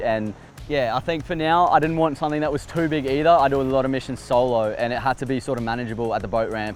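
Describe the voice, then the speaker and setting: A man speaks very fast in an Australian accent, at a medium pitch with ordinary pitch variation. Music plays in the background. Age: 20s. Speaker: fishing YouTuber. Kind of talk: casual interview.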